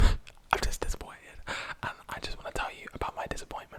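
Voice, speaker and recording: A man whispers over noticeable background noise. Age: young. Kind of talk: ASMR whisper ramble. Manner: whispered.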